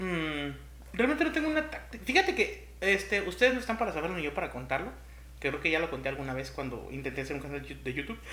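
A man speaks at a fairly quick pace in a Mexican accent. Audible room echo surrounds his voice. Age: 30s. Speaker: podcast co-host. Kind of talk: casual chat. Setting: home-made studio.

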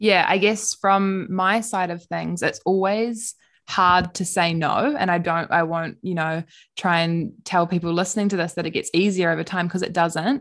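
With a New Zealand accent, a woman speaks at a moderate pace and medium pitch, her intonation fairly even against a quiet background. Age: 20s. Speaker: PhD student and podcast co-host. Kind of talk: casual chat.

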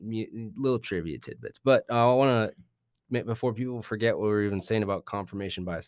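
Over a silent background on a very clean recording, a man talks in a plain, everyday voice at medium pitch with ordinary pitch variation. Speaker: podcast host. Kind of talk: casual podcast chat.

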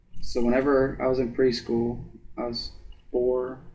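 Audible room echo surrounds a man's dark, mellow voice at a medium pitch. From US Midwest (Ada, Ohio). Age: 20s. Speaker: college wrestler and student. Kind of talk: casual interview.

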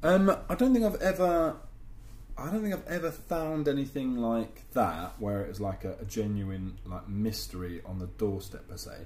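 A man with a London accent speaks at a moderate pace in a medium pitch, with very wide pitch swings and big swings in loudness. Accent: English (London area). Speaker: podcast co-host. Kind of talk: casual chat.

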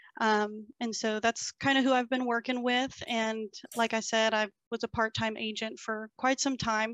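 The speech comes with a Texas accent at a moderate pace. Its intonation is monotone and flat. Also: woman, fairly high pitch for a woman. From Texas, Bryan College Station. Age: 20s. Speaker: real estate agent. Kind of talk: casual interview.

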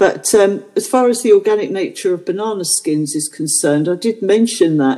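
A woman with a plain, everyday voice talks at a moderate pace and medium pitch, with lively intonation and hardly any pauses. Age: 60s. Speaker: podcast co-host. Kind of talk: casual chat.

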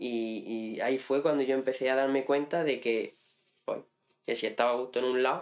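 A man talks at a moderate pace and medium pitch. His intonation stays fairly even. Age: 20s. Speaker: farmer and hunter. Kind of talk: casual interview. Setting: in-person studio.

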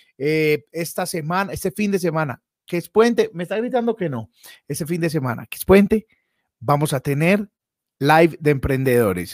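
At a moderate pace, a man speaks at a high pitch with very wide pitch swings, in a dry, close sound with no echo. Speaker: comedian and livestream host. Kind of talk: casual chat. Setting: live stream.

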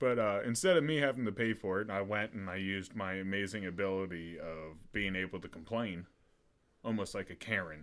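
An unremarkable speaking voice from a man, fairly low-pitched, at a fairly quick pace. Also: ordinary pitch variation. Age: 20s. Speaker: podcast co-host. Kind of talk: casual chat.

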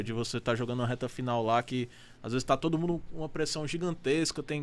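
A man races along very fast, his pitch shifting in an ordinary way. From Amazonas, Brazil. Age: 20s. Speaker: professional poker player. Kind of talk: casual chat.

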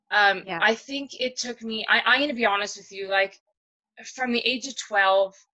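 Ordinary pitch variation in a woman's bright, sharp-toned voice. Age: 40s. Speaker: guest sharing personal loss story. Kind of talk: casual interview, personal testimony.

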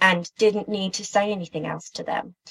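In a British accent, a woman at medium pitch talks in a flat monotone, her bright, sharp tone caught in a dry, close sound with no echo. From UK. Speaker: interviewee. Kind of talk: testimony. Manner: halting.

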